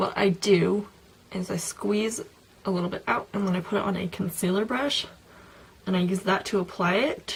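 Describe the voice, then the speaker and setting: Noticeable background noise sits behind the speech. A woman talks at a moderate pace and a medium pitch. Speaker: beauty vlogger. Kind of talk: casual product review vlog. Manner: filler-heavy, lots of um and like.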